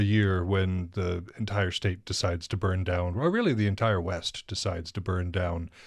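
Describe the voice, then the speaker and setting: With an American accent and an ordinary speaking voice, a man talks at a moderate pace in a fairly low pitch, with hardly any pauses, on a very clean recording with a silent background. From northern Montana. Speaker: podcast host. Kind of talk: casual interview.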